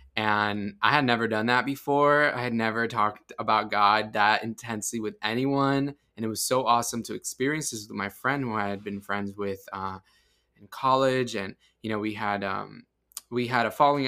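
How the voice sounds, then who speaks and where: A man speaks at a medium pitch in a bright, sharp tone, with big swings in loudness. The recording is very clean, with a silent background. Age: 20s. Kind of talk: personal testimony in a casual interview.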